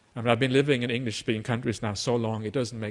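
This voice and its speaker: Recorded very cleanly against a silent background, a man with a Norwegian accent talks very fast at medium pitch. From Norway. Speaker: Buddhist monk teacher. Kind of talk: dharma talk. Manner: frequent filler uhs, hesitant.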